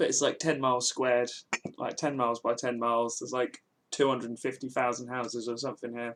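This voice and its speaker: In a southern English accent, a man talks at a very fast pace and medium pitch with monotone, flat intonation. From England, Milton Keynes. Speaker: game developer streamer. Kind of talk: casual live stream chat. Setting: live stream.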